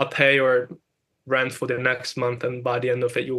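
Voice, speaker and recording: On a very clean recording with a silent background, a man with a non-native accent speaks at a medium pitch and a fairly quick pace, his intonation monotone and flat. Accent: foreign. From Hungary. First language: Hungarian. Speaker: music producer and engineer. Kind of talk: interview. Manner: halting, many repetitions and fillers.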